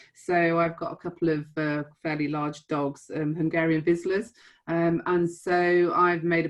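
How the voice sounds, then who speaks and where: A woman speaks with a fairly low pitch. Her intonation is monotone and flat. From northwest England. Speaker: council chief executive. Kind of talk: panel discussion. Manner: hesitant, many fillers.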